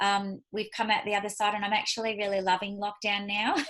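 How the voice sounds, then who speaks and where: With an Australian accent and a bright, sharp tone, the speaker moves at a fairly quick pace over a quiet background. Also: woman. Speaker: business leader. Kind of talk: casual chat. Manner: fast.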